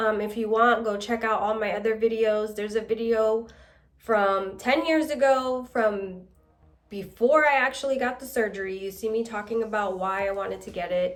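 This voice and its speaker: With music in the background and audible room echo, a woman speaks at a moderate pace in a fairly high pitch with ordinary pitch variation. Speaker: vlogger. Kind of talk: casual chat.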